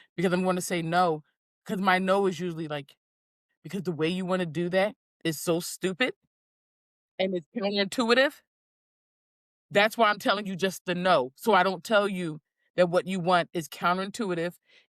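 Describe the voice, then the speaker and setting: The pace is moderate. Pauses come long and often. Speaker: podcast co-host. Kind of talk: casual chat. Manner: direct, matter-of-fact.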